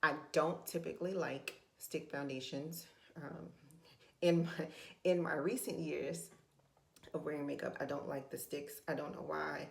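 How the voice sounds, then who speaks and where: Amid audible room echo, a woman speaks at a fairly slow pace with long, frequent pauses. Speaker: beauty and budget vlogger. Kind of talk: makeup tutorial. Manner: casual, hesitant with fillers.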